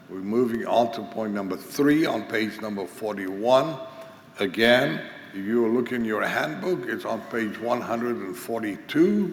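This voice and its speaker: Against noticeable background noise and audible room echo, a man speaks fairly slowly at a medium pitch with lively intonation. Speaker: conference teacher on pastoral care. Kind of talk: lecture.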